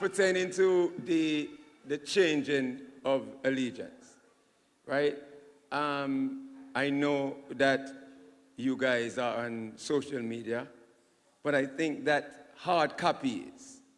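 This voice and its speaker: Speaking at a very slow pace with long, frequent pauses, a man with a fairly high pitch and ordinary pitch variation sounds out in a room with audible echo. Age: 50s. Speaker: audience member at town hall. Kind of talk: public Q&A comment. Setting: town hall meeting.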